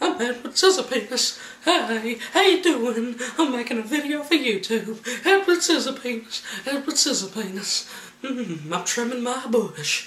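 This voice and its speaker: A man's put-on character voice, pitched extremely high, with lively intonation at a moderate pace. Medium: solo performance.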